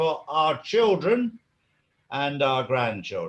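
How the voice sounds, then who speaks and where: With lively intonation and a fairly high pitch, the man speaks in an ordinary speaking voice. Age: 60s. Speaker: interview guest, activist. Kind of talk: interview.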